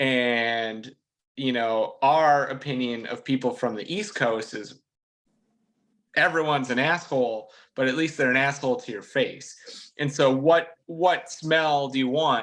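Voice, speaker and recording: Medium-pitched speech from a man with a Minnesotan accent at a fairly slow pace. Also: ordinary pitch variation. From Minnesota, Minneapolis. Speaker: race car driver. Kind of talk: casual interview. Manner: overly nice-sounding.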